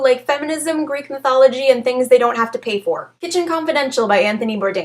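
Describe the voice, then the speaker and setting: Delivered at a very fast pace, the speech has lively intonation, with noticeable background noise behind it. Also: woman. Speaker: book reviewer. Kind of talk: casual book review to camera.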